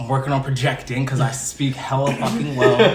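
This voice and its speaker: Recorded with audible room echo and noticeable background noise, a man speaks at medium pitch with an American accent. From New York, Mount Vernon. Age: 20s. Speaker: artist, rapper and actor. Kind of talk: casual interview.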